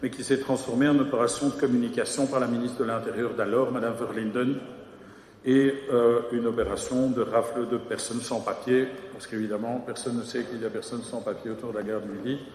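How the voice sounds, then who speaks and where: A man speaks at a fairly quick pace in a flat, monotone voice of medium pitch, with audible room echo and noticeable background noise. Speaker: mayor. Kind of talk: council meeting debate reply. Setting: council chamber. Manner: hesitant, many fillers.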